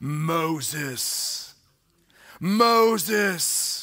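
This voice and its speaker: A man's put-on character voice, high in pitch. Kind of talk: sermon. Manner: commanding, resonant.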